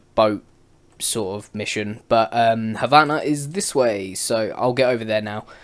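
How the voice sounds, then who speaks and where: Someone speaks in a British accent on a very clean recording with a silent background. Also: man. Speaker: gaming YouTuber. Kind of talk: gameplay commentary. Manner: casual, rambling.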